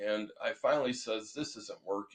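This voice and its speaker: This man has a plain, everyday voice, pitched in the middle range with ordinary pitch variation. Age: 60s. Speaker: recovering alcoholic and sober community founder. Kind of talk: interview testimony. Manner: conversational, with false starts.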